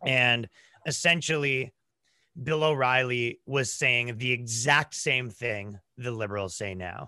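A man's medium-pitched voice, bright and sharp in tone, with ordinary pitch variation at a fairly slow pace over a quiet background. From Toronto, Canada. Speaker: comedian. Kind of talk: casual chat.

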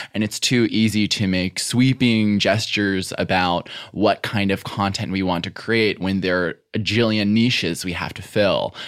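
A man with an American accent and a plain, everyday voice speaks at a moderate pace with hardly any pauses. His pitch is fairly low and his intonation fairly even. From US Midwest, Chicago area. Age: 20s. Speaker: writer and podcaster. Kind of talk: casual chat.

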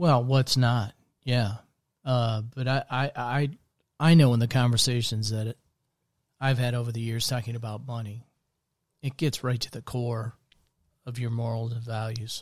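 Speaking with an American accent, a man with a somewhat breathy voice and medium pitch keeps a moderate pace and fairly even intonation, pausing long and often on a very clean recording with a silent background. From US Midwest, central Iowa. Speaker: podcast host, life coach. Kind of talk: casual faith conversation.

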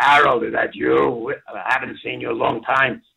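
Raspy put-on character voice from a man, moderately paced

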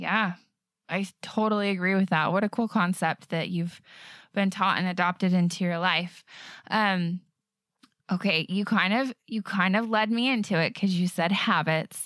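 Here a woman speaks with a Western US accent at a medium pitch and a moderate pace. Her intonation is fairly even and her loudness very even, with dry, close sound, no echo, and a very clean recording over a silent background. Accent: American (Western US). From Utah. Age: 30s. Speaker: podcast host. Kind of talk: casual interview; scripted intro narration.

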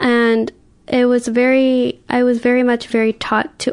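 Her pitch high and her intonation monotone and flat, a woman with an American accent speaks at a fairly slow pace. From US West Coast, Oakland. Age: 20s. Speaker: podcast guest sharing life story. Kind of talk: personal testimony.

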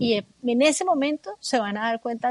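A woman speaks in a normal speaking voice with lively intonation at a fairly slow pace. The sound is dry and close, with no echo. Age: 50s. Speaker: meditation teacher and therapist. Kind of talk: radio interview.

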